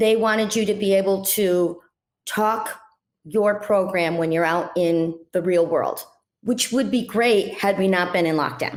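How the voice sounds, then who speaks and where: Here is a plain, everyday voice from a woman with a medium pitch. She speaks at a fairly slow pace with very even loudness. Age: 60s. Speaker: health coach, former dental hygienist. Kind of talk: interview.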